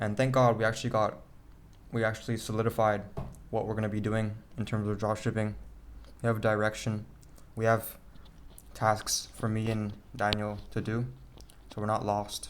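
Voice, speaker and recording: Long, frequent pauses break up this man's speech. His pitch is fairly low and his intonation monotone and flat. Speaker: vlogger. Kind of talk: casual video diary. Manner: fast; stuttering, halting.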